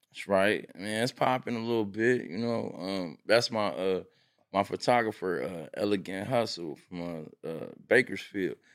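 A man with an ordinary speaking voice and an American accent talks at a fairly low pitch with ordinary pitch variation and big swings in loudness. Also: moderate pace, very clean recording, silent background. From Pomona, Southern California. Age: 40s. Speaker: clothing brand owner. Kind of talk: casual chat.

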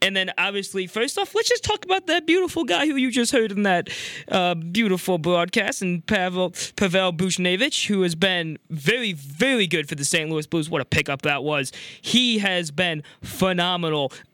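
Raised and projected, this voice carries a bright, sharp tone. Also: man, high pitch for a man. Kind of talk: live commentary goal call, then a playful fan rant. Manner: animated, excited, rising hockey-announcer delivery; cheerful, rapid-fire, rattling off the injury list.

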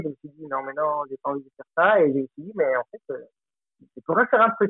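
A man's fairly high voice with a Spanish accent. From Colombia. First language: Spanish (speaking French). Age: 30s. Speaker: film director. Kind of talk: interview. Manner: halting.

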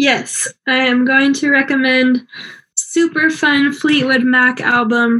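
A woman talks fairly slowly in a plain, everyday voice. Her intonation stays fairly even. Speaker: podcast co-host and grad student. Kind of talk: casual chat about a movie. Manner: casual, laughs often.

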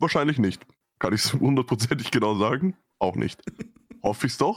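A man at a very fast pace. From Vienna, Austria. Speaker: podcast co-host. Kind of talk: casual chat.

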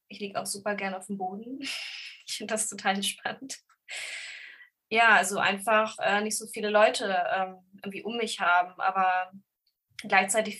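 At a moderate pace, a woman with a medium pitch and a bright, sharp tone speaks with big swings in loudness. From Lower Saxony, Germany (Braunschweig). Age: 30s. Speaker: bookseller with ADHD. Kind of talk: casual interview chat.

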